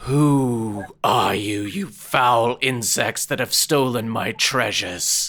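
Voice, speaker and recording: A raspy put-on character voice at a low-to-middle pitch, very slow in pace, with hardly any pauses. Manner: menacing, imperious.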